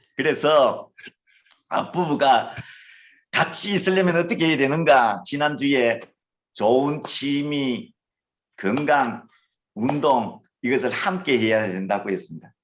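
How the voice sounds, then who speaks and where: Very slow speech in a Gyeongsang accent, with very wide pitch swings and long, frequent pauses. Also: man, fairly high pitch for a man. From Gyeongsang Province, Korea. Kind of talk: lecture.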